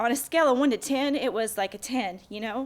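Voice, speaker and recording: This woman has an ordinary speaking voice with ordinary pitch variation and a fairly slow pace. The recording is very clean, with a silent background. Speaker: back pain sufferer, former athlete. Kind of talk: interview testimony.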